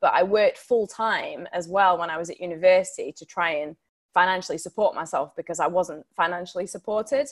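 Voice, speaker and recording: In a Yorkshire accent, a woman talks at a fairly quick pace and a medium pitch with ordinary pitch variation. Her loudness swings widely, on a very clean recording with a silent background and a dry, close sound with no echo. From Sheffield, Yorkshire. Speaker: TV broadcaster and campaigner. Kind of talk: guest talk with Q&A.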